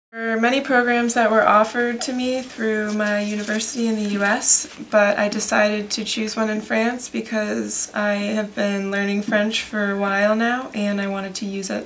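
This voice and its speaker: With an American accent, a woman talks at a moderate pace with hardly any pauses, her fairly high voice monotone and flat. Audible room echo and noticeable background noise come through. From suburban Detroit, Michigan, US. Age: 20s. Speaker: student. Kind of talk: interview answers.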